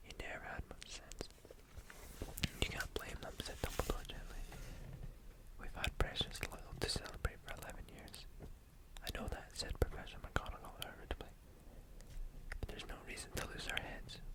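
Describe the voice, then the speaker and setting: Whispering at a moderate pace, broken by long, frequent pauses, amid noticeable background noise. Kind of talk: ASMR book reading to help sleep. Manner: soft whispering.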